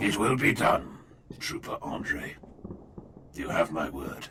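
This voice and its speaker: A man puts on a raspy character voice. He goes at a fairly slow pace. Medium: audio drama. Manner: solemn, formal, commanding.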